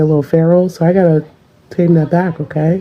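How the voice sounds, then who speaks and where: Noticeable background noise sits behind a woman speaking in an animated tone. She has a slight Southern US accent. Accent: slight Southern US, unexpected. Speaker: parent in social media clip. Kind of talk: casual vlog monologue.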